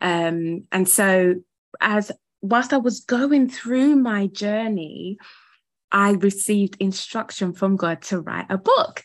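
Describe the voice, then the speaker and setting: In a British accent, a woman speaks very slowly at a medium pitch with ordinary pitch variation. The background is quiet. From UK. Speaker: ministry founder and primary school teacher. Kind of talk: interview conversation.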